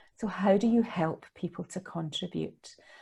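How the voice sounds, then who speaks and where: Somewhat breathy and dark, mellow in tone, a woman with a Scottish accent speaks at a fairly low pitch and fairly slow pace in a very clean recording with a silent background. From Scotland. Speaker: leadership consultant and mentor. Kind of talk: podcast interview answer.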